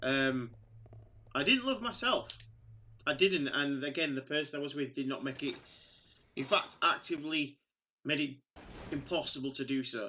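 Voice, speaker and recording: The speaker keeps a moderate pace. Long pauses come often. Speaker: video game streamer. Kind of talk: casual chat during live gameplay stream. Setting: live stream. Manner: loud.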